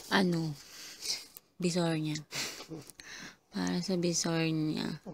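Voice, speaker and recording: At a very slow pace, a woman with fairly low pitch speaks in a monotone, flat intonation. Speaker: vlogger, overseas Filipino worker. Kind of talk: casual vlog. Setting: at home, then outdoors and in a shop.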